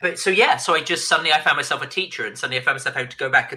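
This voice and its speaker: A man speaks with a British accent. His tone is bright and sharp. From Britain. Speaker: author and former tech journalist. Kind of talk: podcast interview. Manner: animated, with frequent repetitions and restarts.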